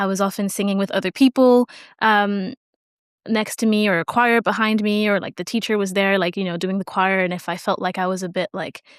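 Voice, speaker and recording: A woman's medium-pitched voice at a fairly quick pace, with fairly even intonation and a dry, close sound with no echo, on a very clean recording with a silent background. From Singapore, French school; English learned in Canada. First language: French. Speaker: medical student and singer. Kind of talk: casual interview chat.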